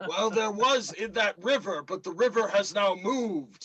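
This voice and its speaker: This man puts on a character voice pitched high. He keeps a moderate pace. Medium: actual play.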